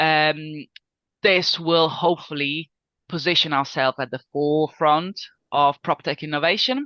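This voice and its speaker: A woman talks at a fairly slow pace in a very deep, low pitch with a bright, sharp tone and fairly even intonation. The sound is dry and close with no echo over a quiet background. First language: Italian. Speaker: business guest, sales manager. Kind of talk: business interview. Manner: hesitant with fillers.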